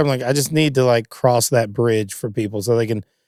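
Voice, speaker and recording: At a very fast pace, a man with a Kentucky accent speaks at a medium pitch. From Kentucky, Louisville. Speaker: singer-songwriter and guitarist. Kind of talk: casual chat. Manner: animated.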